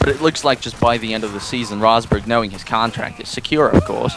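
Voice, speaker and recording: Here a man talks. Behind him there is noticeable background noise. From Russia. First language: Russian. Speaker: podcast co-host. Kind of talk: casual chat.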